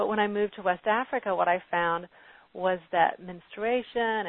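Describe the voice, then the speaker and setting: A woman's medium-pitched voice, a plain, everyday voice, carries fairly even intonation. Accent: American. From US South, Arkansas. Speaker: medical anthropologist and author. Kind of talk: interview on health. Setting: phone call.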